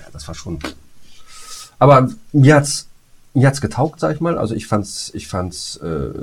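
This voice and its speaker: This man's pitch swings very widely, with vocal fry running through his speech. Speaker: podcast co-host, voice actor. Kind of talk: casual chat.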